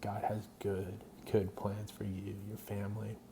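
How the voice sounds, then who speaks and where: Quiet and flat in intonation, a man speaks at a fairly low pitch amid noticeable background noise. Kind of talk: personal testimony monologue. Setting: at home at night. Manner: quiet, hushed; hesitant, many fillers.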